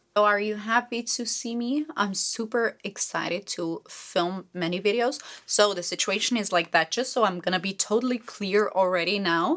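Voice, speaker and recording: A woman speaks with a Slovenian accent. She leaves hardly any pauses. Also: medium pitch for a woman, ordinary pitch variation, moderate pace. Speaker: beauty vlogger. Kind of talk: casual chat while doing makeup.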